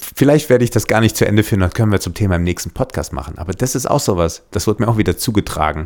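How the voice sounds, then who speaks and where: Talking at a very fast pace with hardly any pauses, a man uses lively intonation in a fairly low pitch. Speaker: podcast host, former reality TV contestant. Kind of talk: casual chat.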